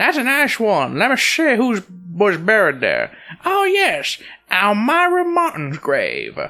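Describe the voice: In a put-on character voice with a bright, sharp tone, the speaker goes at a slow pace with very wide pitch swings as faint music plays behind.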